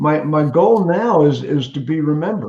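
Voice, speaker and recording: Somewhat breathy, a man talks in a dark, mellow tone. His pitch is fairly high, with ordinary variation. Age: 70s. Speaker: former car salesman and sales consultant. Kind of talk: casual chat. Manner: halting, repeats words.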